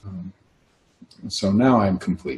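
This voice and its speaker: His pitch is very deep and low for a man. The voice is somewhat breathy. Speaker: workshop facilitator. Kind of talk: casual chat. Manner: soft-spoken.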